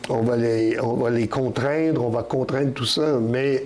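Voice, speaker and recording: Noticeable background noise and audible room echo fill the recording. A man speaks at a medium pitch with fairly even intonation. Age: 70s. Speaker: poet. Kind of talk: interview. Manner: halting, many repetitions and fillers.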